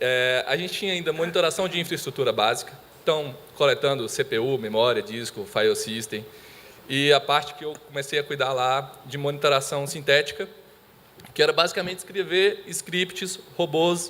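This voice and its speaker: A man with a Minas Gerais accent talks at a moderate pace and a fairly high pitch, with ordinary pitch variation. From Brazil, Minas Gerais. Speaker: IT monitoring specialist. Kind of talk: conference presentation.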